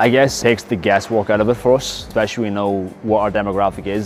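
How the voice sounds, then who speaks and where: A man speaks with music in the background. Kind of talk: interview answer. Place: gym. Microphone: lapel.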